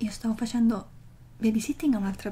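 Against light background noise, a woman speaks in a soft-spoken way. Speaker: vlogger. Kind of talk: casual vlog chat. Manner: soft, hushed ASMR speaking voice. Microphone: phone near.

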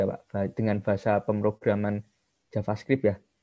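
An ordinary speaking voice at a moderate pace over a quiet background. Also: man. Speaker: student participant asking question. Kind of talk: question in webinar Q&A. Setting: video call. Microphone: video call.

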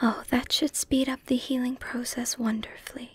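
The voice has a warm tone. It is soft-spoken. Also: dry sound with no echo. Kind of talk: soft-spoken roleplay, caring character dialogue. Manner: soft-spoken, warm and reassuring.

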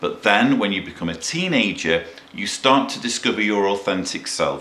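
Moderately paced male speech, fairly low in pitch, with ordinary pitch movement and audible echo from the room. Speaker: commentator. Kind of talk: commentary. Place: home room.

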